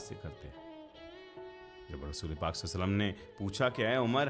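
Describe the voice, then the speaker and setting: A man speaks with lively intonation while music plays in the background. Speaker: Islamic podcaster / religious speaker. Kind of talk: casual explanatory commentary in Urdu.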